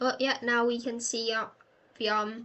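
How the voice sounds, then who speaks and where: A high-pitched woman with a British accent and fairly even intonation. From Britain. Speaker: gaming youtuber. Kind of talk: gameplay commentary. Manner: hesitant, many fillers.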